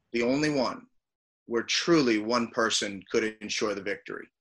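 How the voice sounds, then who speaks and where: With a plain, everyday voice, a man speaks at a moderate pace and medium pitch, with ordinary pitch variation. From Flint, Michigan. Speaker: former college basketball player. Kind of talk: casual interview chat.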